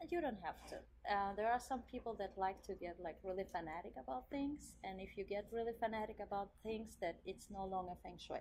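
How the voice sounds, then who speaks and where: A woman with a non-native accent speaks at a medium pitch with ordinary variation. She talks at a fairly quick pace with hardly any pauses. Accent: foreign. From Central Asia, then Germany from age twelve. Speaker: interior designer. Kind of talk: interview.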